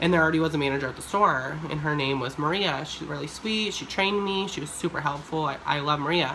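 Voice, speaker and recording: A woman at a very fast pace, very deep and low in pitch, animated in tone with hardly any pauses, amid noticeable background noise and audible room echo. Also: ordinary pitch variation. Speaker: YouTuber. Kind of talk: storytime vlog.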